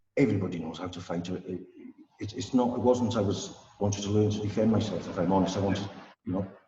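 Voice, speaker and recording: A man speaks very fast with a North Welsh accent and a fairly low pitch. His intonation stays fairly even, and audible room echo surrounds him. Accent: north Welsh (Wrexham). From Wales, Wrexham area. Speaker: Shaolin monk and martial arts teacher. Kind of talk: casual interview. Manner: halting, many repetitions.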